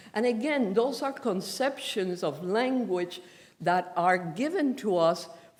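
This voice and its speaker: Speaking at a fairly slow pace, a woman uses a fairly high pitch with very wide pitch swings, and audible room echo surrounds her. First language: Spanish. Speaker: professor. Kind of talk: lecture.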